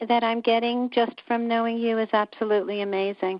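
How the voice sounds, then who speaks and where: A woman's voice, fairly high in pitch. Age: 60s. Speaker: caller. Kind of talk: casual chat. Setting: phone call. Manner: halting.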